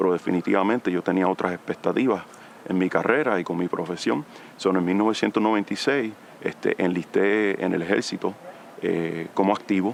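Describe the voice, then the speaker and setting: In a Puerto Rican accent, a man with a very deep, low voice speaks at a moderate pace with ordinary pitch variation over noticeable background noise. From Puerto Rico. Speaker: army veteran, federal employee. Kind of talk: interview testimony. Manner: halting, many fillers.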